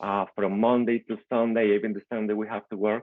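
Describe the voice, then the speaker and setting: A man with a Venezuelan accent at a moderate pace. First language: Spanish. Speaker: immigrant small-business owner and real estate investor. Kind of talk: personal success story in a video call meetup. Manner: halting, with frequent repetitions.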